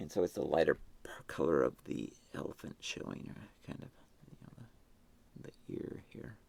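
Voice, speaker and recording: Whispering and mumbling at a moderate pace, the speaker's loudness swings widely, broken by long, frequent pauses. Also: man. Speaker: artist painting live. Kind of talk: live painting stream commentary.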